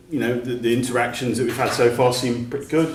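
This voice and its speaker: The monotone, flat speech comes with audible room echo and noticeable background noise. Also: man. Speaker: outdoor sports policy advocate. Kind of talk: presentation at a meeting. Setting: meeting room with audience.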